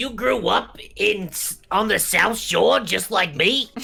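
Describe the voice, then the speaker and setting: A put-on character voice with a fairly high pitch. It moves at a fairly slow pace. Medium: actual play. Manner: chatty, touchy.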